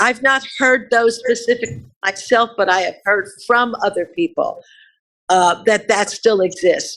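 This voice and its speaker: A woman speaks with an American accent at a fairly high pitch and ordinary pitch variation. Her pace is fairly slow. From New Jersey, Newark. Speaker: community group co-founder. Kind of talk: interview answers. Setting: video call. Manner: articulate, clear diction.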